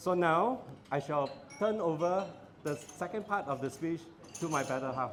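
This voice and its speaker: A man's high-pitched voice at a moderate pace, with lively intonation, long and frequent pauses, and audible room echo. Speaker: father of the bride. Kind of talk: wedding speech. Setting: banquet hall with audience, PA system. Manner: loud.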